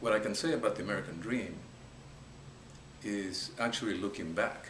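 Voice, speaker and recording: A man with a fairly low pitch speaks at a moderate pace, leaving long, frequent pauses and showing ordinary pitch variation. Audible room echo and noticeable background noise fill the recording. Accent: Spanish. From Peru. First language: Spanish. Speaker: business investor. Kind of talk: interview. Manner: halting.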